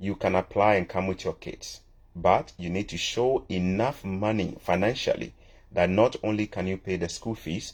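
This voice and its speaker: Against a quiet background, a man talks with a fairly low pitch and fairly even intonation. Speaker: immigration advice channel host. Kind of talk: live Q&A. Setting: livestream. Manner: fast.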